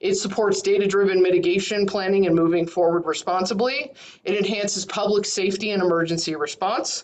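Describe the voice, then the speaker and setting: There is noticeable background noise behind a woman's voice. She talks at a fairly quick pace with a medium pitch and fairly even intonation. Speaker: county emergency management coordinator. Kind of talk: presentation in online meeting.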